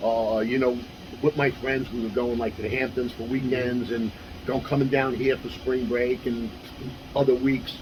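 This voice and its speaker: Against noticeable background noise, a man with a New York accent talks at a medium pitch with monotone, flat intonation. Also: moderate pace. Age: 60s. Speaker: former kickboxer and martial arts instructor. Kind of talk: interview. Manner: casual, with frequent fillers.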